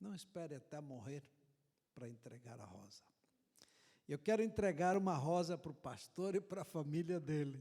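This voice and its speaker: Speaking at a moderate pace with long, frequent pauses, a man with fairly high pitch and a dark, mellow tone uses lively intonation and big swings in loudness. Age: 70s. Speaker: visiting preacher. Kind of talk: sermon.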